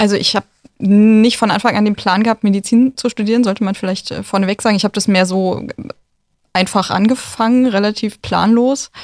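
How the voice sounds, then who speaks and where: A woman speaks at a fairly quick pace in a monotone, flat intonation. The sound is dry and close, with no echo. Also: medium pitch for a woman, very even loudness. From northern Germany, near Neubrandenburg. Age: 20s. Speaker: doctor in training. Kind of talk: casual interview. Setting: radio studio.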